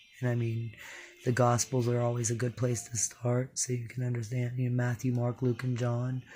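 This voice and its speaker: The man's intonation is monotone and flat. His voice is somewhat breathy. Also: medium pitch for a man, moderate pace. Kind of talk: casual devotional talk. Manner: informal, with fillers.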